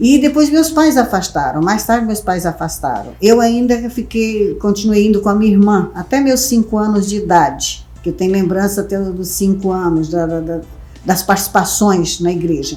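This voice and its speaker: With music in the background, the speech moves at a moderate pace with lively intonation and hardly any pauses. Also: woman, medium pitch for a woman. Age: 60s. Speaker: vice mayor. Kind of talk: interview.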